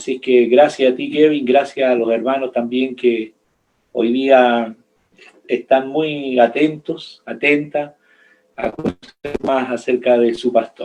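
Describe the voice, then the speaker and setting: Very slow speech comes from a man. The intonation is fairly even throughout. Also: medium pitch for a man. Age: 60s. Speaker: pastor. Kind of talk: interview. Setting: video call.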